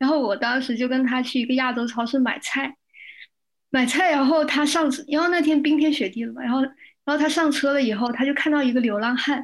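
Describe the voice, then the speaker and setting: A woman's high-pitched voice, fairly even in intonation, at a fairly quick pace. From China, Shenzhen. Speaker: religious studies student. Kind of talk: casual chat.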